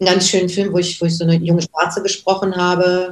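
This woman's voice sits at a fairly low pitch. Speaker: voice actress. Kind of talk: interview.

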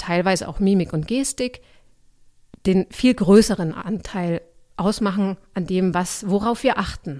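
A woman's medium-pitched voice with ordinary pitch variation, in a very clean recording with a silent background. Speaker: voice coach and actress. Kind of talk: interview clip.

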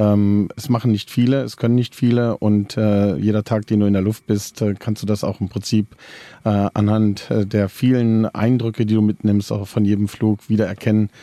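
A man with a dark, mellow tone and fairly low pitch speaks in a monotone, flat intonation at a moderate pace, with a dry, close sound with no echo. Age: 50s. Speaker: helicopter pilot and flight instructor. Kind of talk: casual interview. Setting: inside a helicopter at an airfield.

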